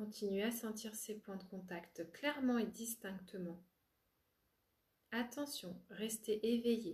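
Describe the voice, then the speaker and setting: Fairly high-pitched, somewhat breathy female voice, very slow with long, frequent pauses, in a calm, soothing tone. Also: ordinary pitch variation. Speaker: spiritual coach and relaxation therapist. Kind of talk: yoga nidra guided relaxation. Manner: slow, calm, soothing, with long pauses.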